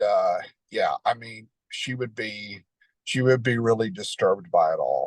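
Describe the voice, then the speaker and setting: Here a man talks with a Southern US accent. His pace is fairly slow. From Tennessee, near Nashville. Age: 60s. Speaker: Elvis fan. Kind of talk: interview. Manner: halting, many fillers.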